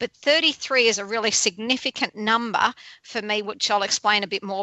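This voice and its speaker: With an Australian accent, a woman speaks at a fairly high pitch. She keeps a moderate pace and ordinary pitch variation. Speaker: radio host. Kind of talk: radio show intro; interview.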